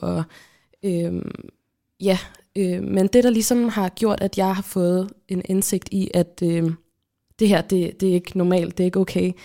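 On a very clean recording with a silent background, a woman with a dark, mellow tone speaks fairly slowly at a medium pitch in a flat monotone, with long, frequent pauses. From Kalundborg, Denmark. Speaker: podcast host, student. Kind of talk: casual chat.

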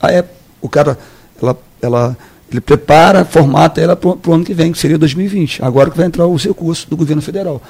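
The speech moves at a very fast pace. Its pitch varies an ordinary amount. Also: man, fairly high pitch for a man. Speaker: politician. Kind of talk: radio interview. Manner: casual, repetitive.

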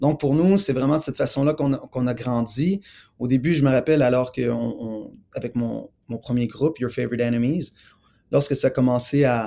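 A man with a medium pitch and a dark, mellow tone speaks at a moderate pace, using ordinary pitch variation. He leaves long, frequent pauses, and the recording is very clean with a silent background. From Montreal, Quebec. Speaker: musician. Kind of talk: interview. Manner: halting.

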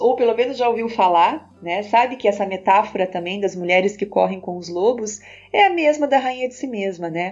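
Lively in intonation and fairly high in pitch, a woman speaks at a moderate pace against noticeable background noise. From Brazil, Curitiba. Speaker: podcast host and self-development coach. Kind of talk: reflective personal monologue.

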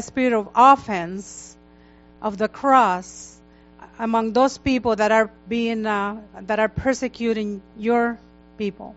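Music plays behind a woman speaking at a very slow pace. Her intonation stays fairly even. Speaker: church leader. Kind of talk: prayer. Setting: church.

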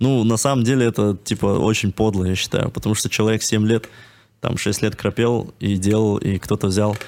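Speaking at a moderate pace with fairly even intonation, a man has a fairly low pitch and a plain, everyday voice. The recording is very clean, with a silent background. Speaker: screenwriter. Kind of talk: casual chat.

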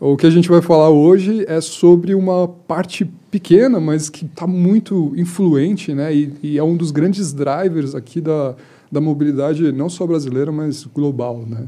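Pitch variation is ordinary in this voice, which has a dark, mellow tone. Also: man, fairly high pitch for a man. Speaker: automotive engineer and project coordinator. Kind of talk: casual chat. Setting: studio.

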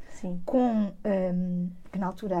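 A woman speaks at a medium pitch with ordinary variation. Her voice is somewhat breathy, with a dark, mellow tone. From Portugal, Lisbon. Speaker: museum director. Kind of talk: interview.

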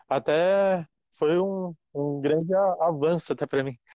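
Recorded dry and close with no echo, a man's fairly high voice carries a dark, mellow tone and fairly even intonation. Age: 20s. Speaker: pharmacy clerk and gym member. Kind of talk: casual interview. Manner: halting.

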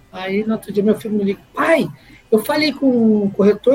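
A man keeps a moderate pace and ordinary pitch variation while noticeable background noise plays behind him. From Brazil, Guaratinguetá, São Paulo state. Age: 40s. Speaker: car dealership owner. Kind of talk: casual interview.

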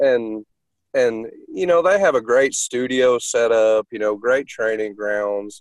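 A man with a Southern US accent at medium pitch, with ordinary pitch variation and a dry, close sound with no echo. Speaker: dog trainer. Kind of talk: casual interview.

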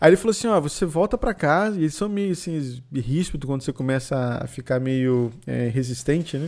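A man with an ordinary speaking voice talks at a fairly quick pace with hardly any pauses. His pitch is fairly high and his intonation lively. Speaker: podcast host. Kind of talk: casual chat.

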